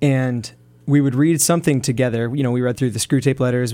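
Speaking with fairly even intonation, the man has an ordinary speaking voice pitched in the medium range. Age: 20s. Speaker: young father in a men's prayer group. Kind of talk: casual radio interview.

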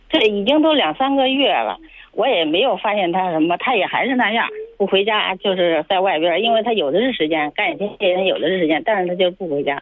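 Over noticeable background noise, a woman of medium pitch talks at a fairly quick pace. Her pitch swings very widely. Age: 50s. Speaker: caller seeking advice about a cheating husband. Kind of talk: call-in advice conversation.

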